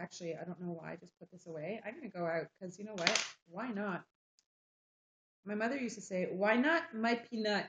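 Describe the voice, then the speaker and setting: A woman with a French-Canadian accent speaks at a medium pitch and a fairly quick pace. Her intonation is lively, and her loudness swings widely. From Quebec, Montreal. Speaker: livestreamer. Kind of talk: casual chat. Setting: live stream.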